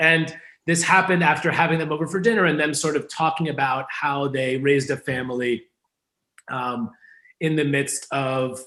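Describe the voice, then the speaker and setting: A man speaks with an American accent. He has an ordinary speaking voice, pitched fairly high. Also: moderate pace. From New York, Hudson Valley. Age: 30s. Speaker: newspaper owner and brand consultant. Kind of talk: interview. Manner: casual, many fillers.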